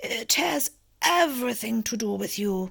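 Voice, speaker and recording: In a put-on character voice, a female-sounding speaker talks softly and raspily at a moderate pace, her pitch fairly high for a woman. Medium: read story. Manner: slow and soft.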